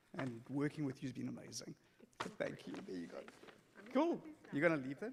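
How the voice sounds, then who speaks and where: A man speaks with a South African accent. His pace is fairly quick. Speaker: synagogue executive director. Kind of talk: presentation speech. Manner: casual.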